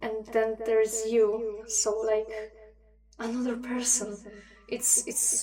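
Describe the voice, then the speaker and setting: A woman with a non-native accent and a fairly high pitch, monotone, flat intonation, a very slow pace and long, frequent pauses, with music in the background. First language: not English. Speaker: livestream host. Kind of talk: casual chat. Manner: hesitant, many fillers.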